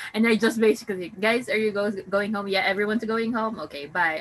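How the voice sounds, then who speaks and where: A woman at medium pitch and a fairly quick pace, with noticeable background noise. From Philippines. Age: 30s. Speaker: podcast host. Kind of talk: casual chat.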